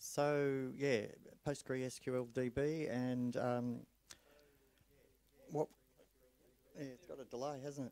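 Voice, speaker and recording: Quiet and very slow, a man speaks at medium pitch in a dark, mellow tone with monotone, flat intonation and long, frequent pauses. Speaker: club presenter demonstrating a project. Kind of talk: technical presentation. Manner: hesitant, with fillers; speaks quietly. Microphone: echo and delay on PA.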